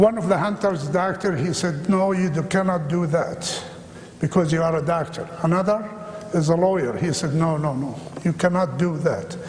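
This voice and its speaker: Against noticeable background noise, a man with an Arabic accent talks at a moderate pace in a high pitch, his intonation fairly even. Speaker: minister and ministry founder. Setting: church chapel with audience.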